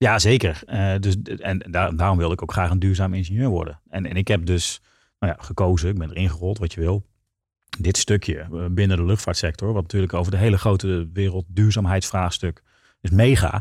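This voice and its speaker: This man's voice sits very deep and low, somewhat breathy, moving at a fairly quick pace. The recording is very clean, with a silent background. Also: fairly even intonation. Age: 30s. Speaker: entrepreneur. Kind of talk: interview. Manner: hesitant.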